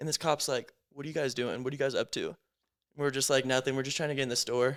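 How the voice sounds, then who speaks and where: Speaking at a very fast pace with an American accent, a man with a fairly high pitch is heard on a very clean recording with a silent background. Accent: Americanized. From United States, half Lebanese. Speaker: podcast host. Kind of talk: casual chat. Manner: animated, filler-heavy.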